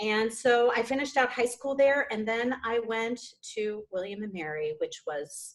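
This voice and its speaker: Lively intonation marks this woman's fairly high voice as she speaks fairly slowly in a Minnesota accent. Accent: Minnesota accent, returned. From Minnesota, US Upper Midwest. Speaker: stage actor and director. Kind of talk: casual chat.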